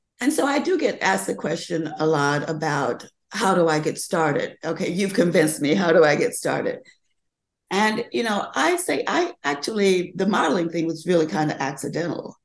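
This woman has a plain, everyday voice pitched fairly low. She moves at a moderate pace with lively intonation. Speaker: fashion model and age activist. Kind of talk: casual interview chat.

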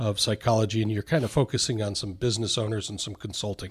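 A man's somewhat breathy voice is heard on a very clean recording against a silent background. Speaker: podcast host, wealth advisor. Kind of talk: interview.

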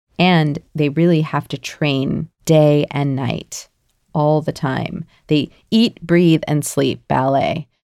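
A woman's very deep, low voice with a dark, mellow tone, very slow and fairly even in intonation, in a dry, close sound with no echo. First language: native English speaker. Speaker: podcast co-host, former professional ballet dancer. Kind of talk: casual educational chat. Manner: clear, easy-to-understand speech.

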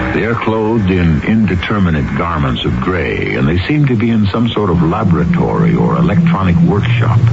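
Over noticeable background noise, a man with a fairly low pitch and a dramatic tone speaks at a moderate pace with very wide pitch swings, very even loudness and hardly any pauses. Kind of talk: scripted announcer narration, old-time radio. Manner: formal, dramatic, ominous.

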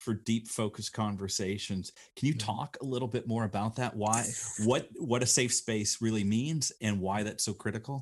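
A man's medium-pitched, ordinary speaking voice with an American accent, fairly even intonation and a moderate pace. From Northern Illinois. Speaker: podcast host. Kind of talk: interview conversation.

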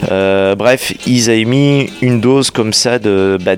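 With music playing in the background, a man speaks at a fairly low pitch. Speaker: radio host. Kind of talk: radio DJ patter, chatty music-show presenting. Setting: radio studio. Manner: relaxed, conversational, slightly halting; upbeat and enthusiastic, with jingles and song intros.

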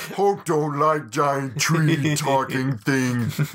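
A man doing a put-on character voice at a fairly high pitch speaks very slowly over light background noise. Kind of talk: broken grammar. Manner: slow, dim-witted.

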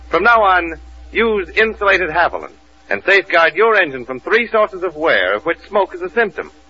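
A man at a moderate pace with noticeable background noise. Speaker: radio announcer. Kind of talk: scripted radio announcer reading, sponsor ads and introductions. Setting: old-time radio studio show with live audience. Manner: formal, polished, brisk announcer delivery.

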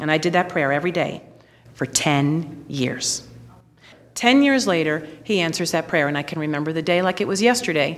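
With an American accent, a woman speaks in a fairly low pitch at a moderate pace. Her intonation is lively, and she has a normal speaking voice. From New York. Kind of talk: testimony.

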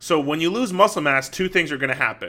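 A man with a bright, sharp tone speaks at a fairly quick pace, using ordinary pitch variation. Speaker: fitness coach and podcast host. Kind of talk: solo podcast monologue. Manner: fast; casual, filler-heavy.

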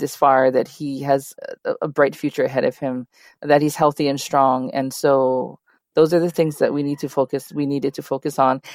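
A woman with a Hawaiian accent speaks at a very deep, low pitch in monotone, flat intonation. The sound is dry and close with no echo, on a very clean recording with a silent background. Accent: Hawaii English. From Hawaii (Kalihi, Honolulu). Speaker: nonprofit advocate. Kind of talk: interview.

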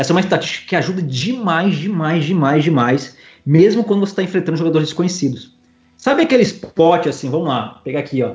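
This man speaks at a very fast pace. His pitch is high and his intonation lively. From Espírito Santo, Brazil. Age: 20s. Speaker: professional poker player. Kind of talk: casual interview.

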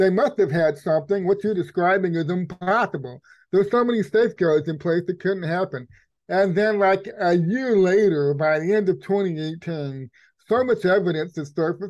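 In a quiet setting, a man with an American accent talks at a high pitch. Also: ordinary pitch variation, moderate pace. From Texas. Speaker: investigative journalist. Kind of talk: interview conversation.

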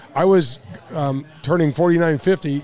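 Over noticeable background noise, the speaker talks with an American accent and ordinary pitch variation. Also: man. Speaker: radio host and former pro golfer. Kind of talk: casual chat. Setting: remote broadcast at a sports bar.

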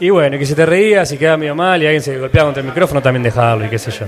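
A man with a fairly high pitch and ordinary pitch variation, amid noticeable background noise. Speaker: podcaster. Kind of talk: live panel interview. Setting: stage with audience.

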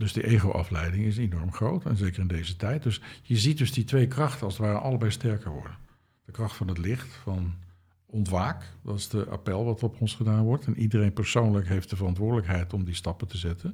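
Fairly quick and somewhat breathy, a man talks with a fairly low pitch, a dark, mellow tone and ordinary pitch variation. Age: 60s. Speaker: translator and spiritual author. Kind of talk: interview.

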